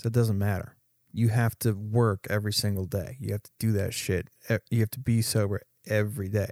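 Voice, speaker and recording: On a very clean recording with a silent background, a man speaks with fairly even intonation but big swings in loudness. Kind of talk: casual chat. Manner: slow talker.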